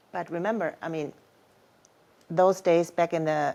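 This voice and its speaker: The woman's voice sits at a fairly low pitch. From Germany. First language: German. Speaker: mother of the hosts. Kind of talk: casual family chat.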